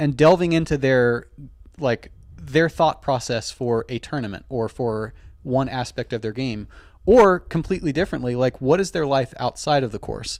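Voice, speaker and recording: A man with an American accent and a plain, everyday voice, medium pitch, ordinary pitch variation and moderate pace, on a very clean recording with a silent background. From US, Baltimore Maryland. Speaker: professional disc golfer and podcaster. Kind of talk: casual interview chat. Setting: live show, shared microphone.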